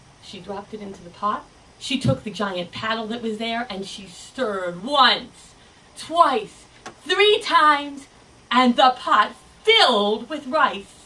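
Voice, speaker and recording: Against noticeable background noise, a woman speaks very slowly in a high voice with lively intonation. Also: long, frequent pauses, big swings in loudness. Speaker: storyteller. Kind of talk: live storytelling performance. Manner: lively, expressive.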